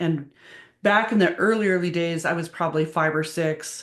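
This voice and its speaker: Over a quiet background, a woman talks at a moderate pace with fairly even intonation and a fairly low pitch. She has an unremarkable speaking voice. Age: 60s. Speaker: medium and tarot reader. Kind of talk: interview.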